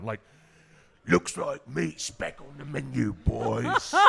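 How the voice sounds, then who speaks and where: Man in a put-on character voice, very deep and low, with a menacing tone at a very slow pace. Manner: gruff, menacing.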